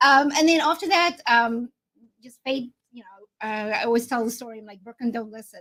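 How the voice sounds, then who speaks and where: A woman with a South African accent speaks at a fairly quick pace in a high, bright, sharp tone. Her pitch varies in an ordinary way while her loudness swings widely. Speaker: insurance agent. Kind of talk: interview on a live video show.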